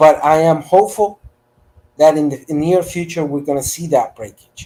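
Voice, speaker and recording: In a Spanish accent, a man speaks with a dark, mellow tone and ordinary pitch variation. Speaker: panelist. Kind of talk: panel debate.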